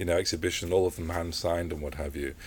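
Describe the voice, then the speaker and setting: The voice is somewhat breathy. The recording is very clean, with a silent background. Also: man. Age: 50s. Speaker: photographer. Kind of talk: interview. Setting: book shop.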